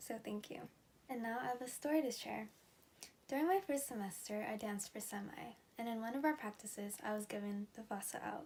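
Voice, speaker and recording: A woman with a somewhat breathy, fairly high voice speaks at a fairly quick pace with ordinary pitch variation. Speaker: student election nominee. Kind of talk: campaign speech.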